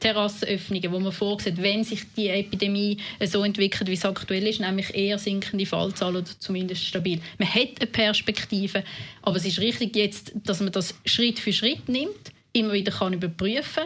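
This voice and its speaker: Keeping a fairly even intonation, a woman talks at a fairly quick pace and a medium pitch. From Winterthur, canton of Zurich, Switzerland (from age nine). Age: 30s. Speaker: politician. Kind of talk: interview.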